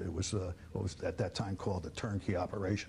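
A man talks in a somewhat breathy voice with a dark, mellow tone and fairly low pitch. Light background noise is audible. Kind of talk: interview answer. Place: studio. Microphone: lapel.

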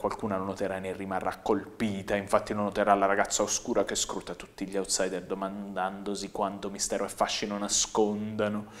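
The speaker talks at a fairly quick pace with a monotone, flat intonation. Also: man. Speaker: comedian. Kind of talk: comic monologue, deadpan guided tour of a packed party. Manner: breathless run-on escalation, piling clause on clause; dry, sardonic narration with mock-lyrical flourishes. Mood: ironic, satirical. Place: studio. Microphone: lapel.

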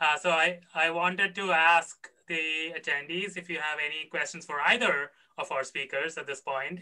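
A man is speaking at a moderate pace. Little can be heard behind him, as the background is quiet. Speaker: conference emcee. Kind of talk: moderated Q&A. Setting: video call. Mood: friendly, smiling. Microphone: video call.

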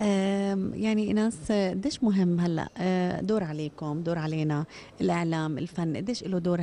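Over light background noise, a woman speaks at a fairly low pitch in a dark, mellow tone, with a dry sound and no echo. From Jordan. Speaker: morning TV show host. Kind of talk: TV interview. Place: hall. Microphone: handheld.

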